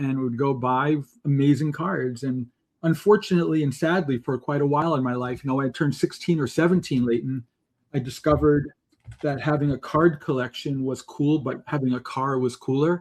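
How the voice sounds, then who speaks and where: A man's fairly high-pitched, fairly quick delivery in a plain, everyday voice, with fairly even intonation. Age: 60s. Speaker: software company co-founder, card collector. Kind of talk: podcast interview.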